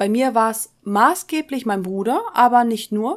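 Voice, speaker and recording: Very clean and set against a silent background, a woman's speech moves at a fairly slow pace with lively intonation. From Westphalia, Germany (Soest). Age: 20s. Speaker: podcast co-host. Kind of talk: casual chat.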